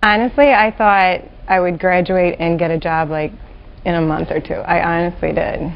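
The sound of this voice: With vocal fry and fairly even intonation, a woman speaks at a fairly low pitch. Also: moderate pace.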